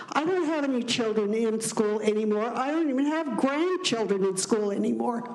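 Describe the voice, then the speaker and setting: The intonation is lively. Noticeable background noise and audible room echo are present. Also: woman. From Utah. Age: 80s+. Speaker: retiree speaking at public hearing. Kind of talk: public comment. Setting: public hearing.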